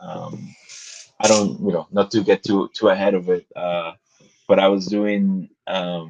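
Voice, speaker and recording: A man with a Spanish accent, fairly slow with long, frequent pauses, in a dry, close sound with no echo. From Guatemala. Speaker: graphic novelist. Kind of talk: interview. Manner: halting, many fillers and repetitions.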